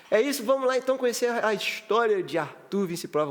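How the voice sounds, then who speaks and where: A man is talking. His pace is fairly quick. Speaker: podcast host. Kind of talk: casual chat.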